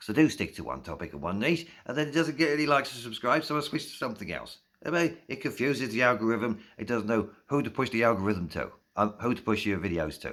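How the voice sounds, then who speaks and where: The speech comes at a very fast pace in an English accent, with vocal fry. The intonation is lively. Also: man, medium pitch for a man. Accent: English accent, noticeable. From South East England (Slough). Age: 50s. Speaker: YouTuber. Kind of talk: casual vlog monologue. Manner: informal, rambling with fillers.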